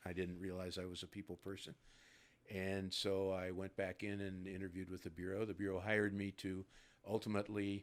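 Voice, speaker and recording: With a US Midwestern accent, this man has a very deep, low voice. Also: very clean recording, silent background. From US Midwest, Ohio near Cincinnati. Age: 70s. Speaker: retired FBI agent. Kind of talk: interview. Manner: hesitant with fillers.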